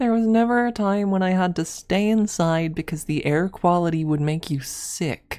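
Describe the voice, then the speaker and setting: A woman with an American accent speaks at medium pitch in a dark, mellow tone. Her loudness stays very even, with hardly any pauses. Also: ordinary pitch variation, moderate pace. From US Midwest, Michigan. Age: 20s. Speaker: ASMR streamer. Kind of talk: casual livestream chat. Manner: halting, many repetitions.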